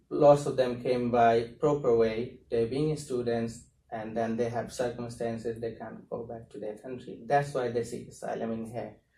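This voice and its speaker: A man at a medium pitch and moderate pace, somewhat breathy, with a dark, mellow tone, monotone, flat intonation, hardly any pauses, and audible room echo. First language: not English. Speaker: asylum seeker and activist. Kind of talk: talk to a university class. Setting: university classroom. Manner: hesitant, with fillers.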